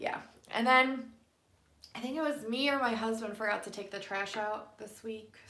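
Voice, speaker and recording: A woman talks at a moderate pace with ordinary pitch variation, and there is audible room echo. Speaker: tarot card reader livestreamer. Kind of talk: casual live stream chat with card readings. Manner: keeping voice down, quiet.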